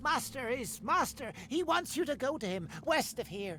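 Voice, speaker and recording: Someone does a put-on character voice at a fairly high pitch. The pace is moderate, with clear background noise. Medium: video game. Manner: halting, hungry, servile.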